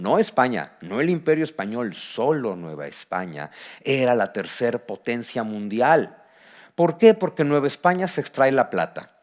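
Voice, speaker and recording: Very wide pitch swings from a man speaking at a fairly slow pace. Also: medium pitch for a man. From Mexico. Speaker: historian and author. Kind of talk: book presentation talk. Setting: auditorium with audience. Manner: animated.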